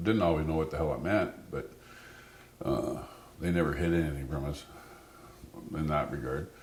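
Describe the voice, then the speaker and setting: In a room with audible echo, a man with a very deep, low pitch talks at a moderate pace, with ordinary pitch variation and long, frequent pauses. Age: 60s. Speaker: storyteller. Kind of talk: personal storytelling interview. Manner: halting.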